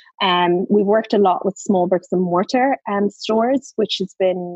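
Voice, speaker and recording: A woman speaks with an Irish accent at medium pitch, her intonation fairly even. The sound is dry and close, with no echo. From Ireland. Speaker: social media marketing expert. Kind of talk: casual interview chat. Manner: hesitant with frequent fillers.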